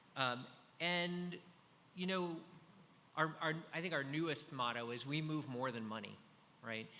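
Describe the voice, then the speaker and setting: A man talks at a moderate pace with ordinary pitch variation. His tone is bright and sharp, and audible room echo surrounds it. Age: 50s. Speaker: business executive, data analytics. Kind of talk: conference presentation. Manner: frequent fillers (um, uh).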